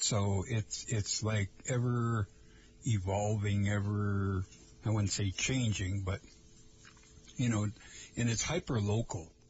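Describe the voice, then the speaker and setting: Very slowly and with long, frequent pauses, a man with an American accent speaks in a somewhat breathy voice at very even loudness. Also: fairly low pitch for a man, fairly even intonation. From Lake Vermilion area, northern Minnesota. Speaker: radio host. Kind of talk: casual chat. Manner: halting, many fillers.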